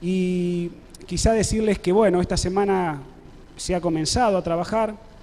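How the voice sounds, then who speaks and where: Dark and mellow in tone, fairly even in intonation, at a moderate pace. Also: man. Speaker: pastor. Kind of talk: sermon. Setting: church service with congregation, web streamed.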